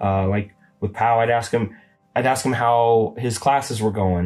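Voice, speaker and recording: With music in the background, a man talks at a moderate pace and a medium pitch. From US West, Boise Idaho. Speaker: host father of exchange student. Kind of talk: casual interview chat. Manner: hesitant, many fillers.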